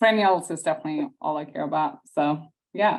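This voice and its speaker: A woman speaks with an Austrian accent. Her pitch moves an ordinary amount. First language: German. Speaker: perennial nursery specialist. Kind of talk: webinar chat. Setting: video webinar.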